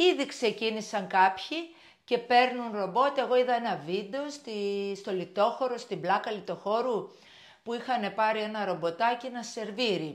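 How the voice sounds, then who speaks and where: A woman speaks at a fairly slow pace with a fairly high pitch. Her pitch varies in an ordinary way, and the background is quiet. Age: 60s. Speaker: shop owner and vlogger; vlogger. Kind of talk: casual vlog monologue. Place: kitchen. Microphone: lapel.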